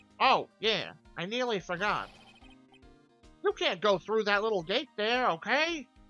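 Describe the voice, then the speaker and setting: Over faint music in the background, a woman uses a put-on character voice at a fairly high pitch, with long, frequent pauses. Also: moderate pace, lively intonation. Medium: game stream. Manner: bumbling, flustered.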